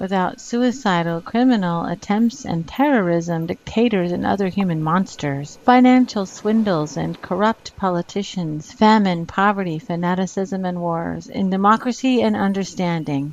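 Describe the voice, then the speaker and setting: This woman has a normal speaking voice at a medium pitch, with ordinary pitch variation. She keeps a moderate pace with hardly any pauses. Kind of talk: poetry reading.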